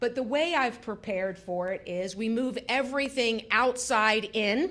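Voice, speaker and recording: This woman has a fairly high pitch and an American accent. It is an ordinary speaking voice with lively intonation. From Florida, Pinellas County. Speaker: mental health center executive, speaker. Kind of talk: talk at a community town hall. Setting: public library event with audience. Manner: conversational, many fillers and repetitions.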